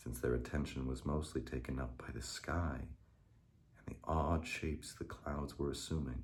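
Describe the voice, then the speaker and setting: With vocal fry, a man talks at a moderate pace. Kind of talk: ASMR story reading. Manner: soft-spoken.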